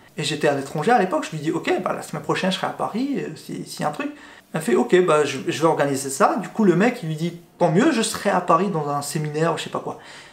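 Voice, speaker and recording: A man speaks at a very fast pace and high pitch with hardly any pauses, his intonation lively and his loudness swinging widely. Background noise is noticeable. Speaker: YouTuber. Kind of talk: casual vlog storytelling. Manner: hesitant, filler words and repetitions.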